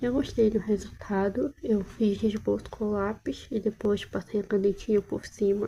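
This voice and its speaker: Speaking very slowly, a woman uses a somewhat breathy voice at medium pitch. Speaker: art hobbyist vlogger. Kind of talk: casual sketchbook tour narration. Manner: halting, with fillers.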